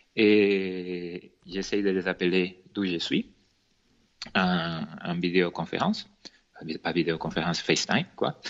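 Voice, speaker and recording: Very slow and marked by long, frequent pauses, a man speaks at a very deep, low pitch. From Venezuela. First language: Spanish (speaking French). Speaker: cake designer and entrepreneur. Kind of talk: podcast interview. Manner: sing-song accent.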